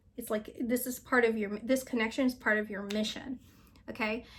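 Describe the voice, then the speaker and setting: A woman speaks in a plain, everyday voice, her fairly high pitch held in fairly even intonation. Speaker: psychic reader. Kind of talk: channeled reading and casual chat.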